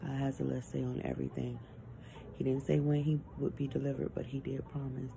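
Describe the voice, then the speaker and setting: A woman speaks at a very fast pace. Noticeable background noise runs behind her. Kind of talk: casual vlog chat. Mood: earnest, faithful, reassuring. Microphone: phone near.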